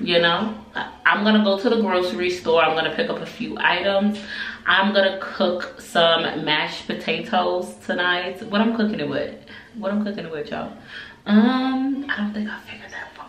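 A woman's voice with big swings in loudness, audible room echo and light background noise. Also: ordinary pitch variation, moderate pace. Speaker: family vlogger. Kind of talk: casual vlog chat. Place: bathroom.

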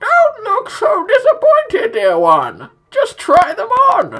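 The voice belongs to a man. It is a put-on character voice. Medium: solo performance. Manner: warm, gently coaxing.

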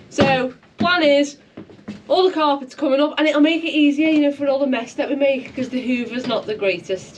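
The voice moves at a fairly quick pace with ordinary pitch variation. Noticeable background noise is audible. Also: woman. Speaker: boat restoration vlogger. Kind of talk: casual vlog chat. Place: boat. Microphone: camera far.

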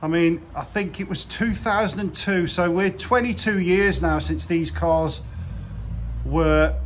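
A man talks at a very slow pace, with light background noise around him. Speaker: car channel vlogger. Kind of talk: casual vlog commentary. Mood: regretful, subdued. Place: garage. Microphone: phone near.

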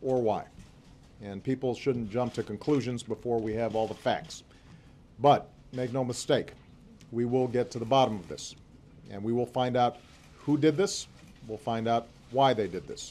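At a moderate pace broken by long, frequent pauses, a man speaks in a dark, mellow tone. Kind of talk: formal press statement. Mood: grave, resolute. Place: hall. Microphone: podium.

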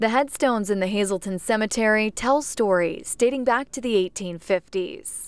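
With an unremarkable speaking voice, a woman speaks at a fairly high pitch and moderate pace, with ordinary pitch variation, hardly any pauses, and a dry sound with no echo. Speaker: TV news reporter. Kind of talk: TV news report.

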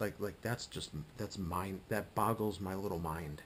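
With light background noise behind him, a somewhat breathy man speaks at a moderate pace. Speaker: vlogger. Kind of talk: casual vlog chat. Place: home room. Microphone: webcam.

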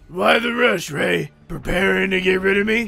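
Raspy, raised, projected voice of a man with a high pitch, at a moderate pace, over faint music in the background. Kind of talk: comic overacting. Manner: arrogant, gloating.

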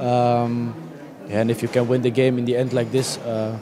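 Noticeable background noise sits behind a man whose dry, echo-free voice has monotone, flat intonation. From Netherlands. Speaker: footballer. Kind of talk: post-match interview. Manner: halting. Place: stadium. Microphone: handheld.

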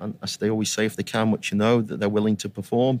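This man has a Staffordshire accent and a medium pitch. His intonation is flat and monotone, heard in a very clean, dry, close recording with no echo and a silent background. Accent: English Midlands (Potteries). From England, Stoke-on-Trent. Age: 50s. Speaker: youth soccer coach educator. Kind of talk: interview.

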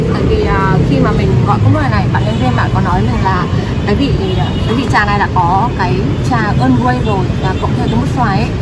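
Fairly quick speech against loud background noise. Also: woman. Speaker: cafe review vlogger. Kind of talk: casual vlog chat. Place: cafe.

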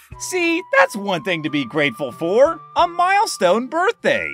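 A man uses a put-on character voice at a high pitch and moderate pace. Clear music plays in the background. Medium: dub. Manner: upbeat.

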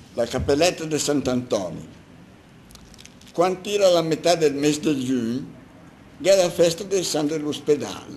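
A man speaks at a moderate pace with ordinary pitch variation. He leaves long pauses, and often. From Milan. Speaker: doctor, amateur poet. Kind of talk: dialect poetry reading.

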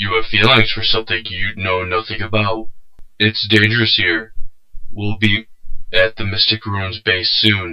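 A man's put-on character voice at medium pitch and moderate pace, monotone with flat intonation. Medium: dub. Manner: flat, mechanical.

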